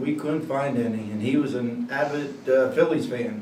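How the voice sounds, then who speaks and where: A man in a central Pennsylvania accent talks at a moderate pace and medium pitch, with ordinary pitch variation. Noticeable background noise and audible room echo are present. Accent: central Pennsylvania American. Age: 60s. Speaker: local resident interviewee. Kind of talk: oral history interview. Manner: casual, hesitant.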